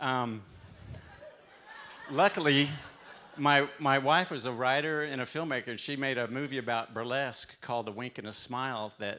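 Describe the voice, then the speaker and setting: A man's medium-pitched voice in a Texan accent, bright and sharp in tone, at a moderate pace with ordinary pitch variation. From Texas. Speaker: restaurant owner. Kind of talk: live talk. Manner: halting.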